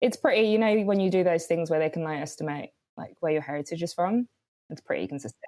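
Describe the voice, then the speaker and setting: A woman with a British accent, very fast, fairly low-pitched and dark, mellow in tone, with ordinary pitch variation and a dry, close sound with no echo. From London, England. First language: Swahili. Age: 30s. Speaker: writer and director. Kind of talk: casual chat. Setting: video call.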